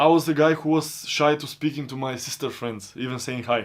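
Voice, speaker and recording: A man with a non-native accent speaks at a moderate pace. His pitch is fairly high with ordinary variation, on a very clean recording with a silent background. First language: not English. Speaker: self-improvement vlogger. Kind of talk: personal monologue. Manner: non-stop talking.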